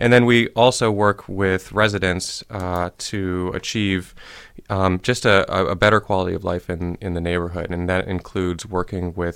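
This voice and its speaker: The recording is very clean and the background silent. Intonation remains fairly even throughout. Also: man. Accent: Midwestern. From US Midwest, Ohio (Shaker Heights). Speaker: community development director. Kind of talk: radio interview. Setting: studio.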